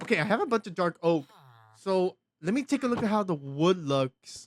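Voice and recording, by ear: The voice moves at a moderate pace with big pitch swings. The sound is dry and close, with no echo.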